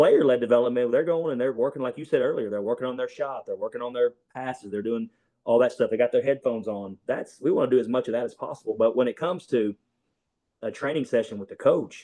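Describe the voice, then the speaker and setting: A man in a strong Southern US accent at a very fast pace. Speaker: basketball coach. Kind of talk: casual interview.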